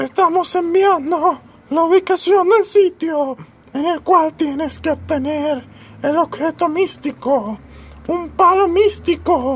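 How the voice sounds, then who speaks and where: Pitched extremely high, a put-on character voice speaks fairly slowly. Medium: comedy sketch. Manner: deadpan, formal.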